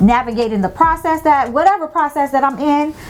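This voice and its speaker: In an American accent, a woman speaks with an animated tone. Noticeable background noise sits behind her. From US South, Tampa, Florida. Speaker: lifestyle vlogger. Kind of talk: casual monologue. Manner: loud.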